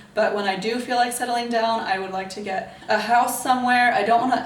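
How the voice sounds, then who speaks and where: A woman with an American accent speaks in an animated tone with ordinary pitch variation. Audible room echo and noticeable background noise surround her voice. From United States. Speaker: travel vlogger. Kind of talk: casual vlog monologue. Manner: fast.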